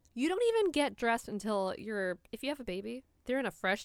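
A woman with an American accent talks at a fairly quick pace, recorded dry and close with no echo. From New York City, South Bronx. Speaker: podcast co-host. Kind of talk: casual chat.

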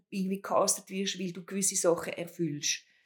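A somewhat breathy woman's voice. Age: 50s. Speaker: podcast host. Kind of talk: casual chat.

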